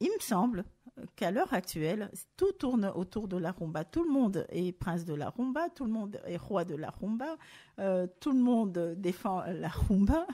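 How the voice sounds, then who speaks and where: Her tone dark and mellow, a woman of medium pitch talks at a fairly slow pace with lively intonation. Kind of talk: radio show talk. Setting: studio.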